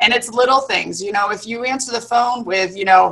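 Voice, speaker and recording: Her pitch fairly high, a woman talks with ordinary pitch variation. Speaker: dental office management consultant. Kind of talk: webinar presentation. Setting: live video stream. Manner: fast.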